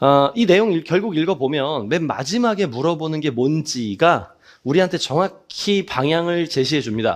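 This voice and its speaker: Against a quiet background, the speech moves with lively intonation and hardly any pauses. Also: man, fairly high pitch for a man. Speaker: math exam-prep instructor. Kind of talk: lecture. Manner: fast.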